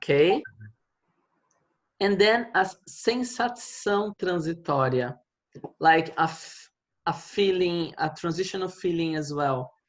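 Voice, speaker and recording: The speaker, with a Portuguese accent, moves at a fairly slow pace broken by long, frequent pauses. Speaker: Portuguese language teacher. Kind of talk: online language lesson.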